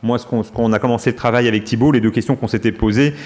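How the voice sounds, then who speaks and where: Amid noticeable background noise, a man speaks very fast at a medium pitch with monotone, flat intonation. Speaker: medical professor presenting research. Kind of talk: conference Q&A discussion. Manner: hesitant, many fillers.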